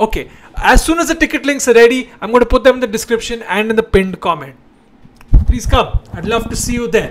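A man talking at a very fast pace, with lively intonation. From India. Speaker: comedian, show host. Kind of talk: casual chat with direct-to-camera announcements. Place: home room. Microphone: handheld.

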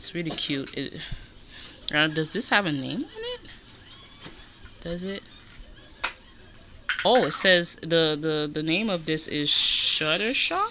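A fairly slow pace with long, frequent pauses, over music in the background. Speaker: haul vlogger. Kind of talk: casual vlog chat. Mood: chatty, a bit disorganized. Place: home room. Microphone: phone near.

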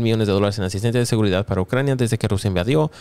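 A fairly low-pitched man with an English accent is heard in a dry sound with no echo against a quiet background. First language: English (speaking Spanish). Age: 20s. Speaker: YouTuber; news commentator youtuber. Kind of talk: news commentary. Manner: frequent fillers. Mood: exasperated, laughing at times. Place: home room. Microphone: studio mic.

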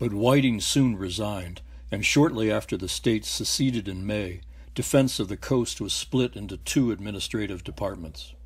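Heard on a very clean recording with a silent background, a man with fairly low pitch and vocal fry speaks at a moderate pace with ordinary pitch variation. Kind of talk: scripted documentary narration. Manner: formal, measured, even-paced; authoritative, matter-of-fact.

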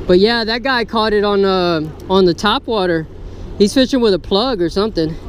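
Moderate pace, light background noise, and a dry sound with no echo. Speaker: fishing channel host. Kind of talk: casual vlog commentary. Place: waterside. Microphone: phone near.

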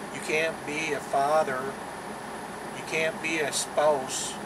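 Loud background noise competes with a man's voice. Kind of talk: casual vlog chat. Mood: serious, cautionary. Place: car. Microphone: phone near.

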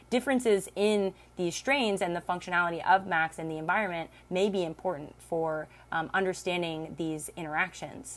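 A woman with an ordinary speaking voice talks at a moderate pace and a fairly low pitch, with ordinary pitch variation. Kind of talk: lecture. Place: home room. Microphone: webcam.

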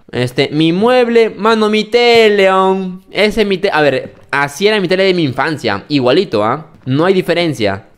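A man's high voice at a moderate pace, with very wide pitch swings. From Peru. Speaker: gaming youtuber. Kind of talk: gameplay commentary. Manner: animated. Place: home room. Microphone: studio mic.

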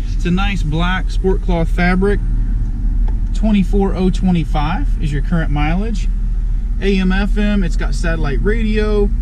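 The sound is dry with no echo, though noticeable background noise can be heard. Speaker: car salesperson. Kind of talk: vehicle walkaround commentary. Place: car. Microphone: phone near.

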